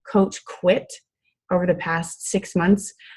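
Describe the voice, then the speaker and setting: A woman speaks at a medium pitch in a somewhat breathy voice, her intonation fairly even. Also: very clean recording, silent background. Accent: Iowa. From US Midwest, Iowa. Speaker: fitness coach. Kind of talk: motivational talk on group call. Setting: conference call with screen share. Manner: casual, many fillers (um, I mean).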